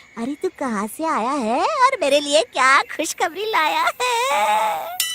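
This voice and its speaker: A cartoonish character voice pitched high. It moves at a fairly slow pace. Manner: cackling, boastful.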